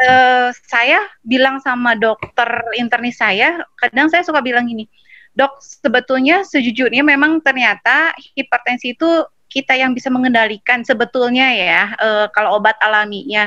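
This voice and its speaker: Bright and sharp in tone, the voice moves at a moderate pace with ordinary pitch variation in a dry, close sound with no echo. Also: woman, high pitch for a woman. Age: 30s. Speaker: online seminar participant asking a question. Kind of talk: question in online Q&A. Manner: halting, many fillers.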